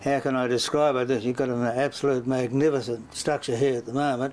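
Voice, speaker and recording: Speaking at a moderate pace with an Australian accent, the man keeps a medium pitch and a monotone, flat intonation. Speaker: former state politician. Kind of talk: interview answer.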